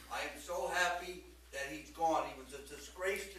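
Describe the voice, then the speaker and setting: A man with an American accent, heard with audible room echo and noticeable background noise. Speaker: public commenter. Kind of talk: public comment. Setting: school board meeting. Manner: loud. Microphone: no microphone.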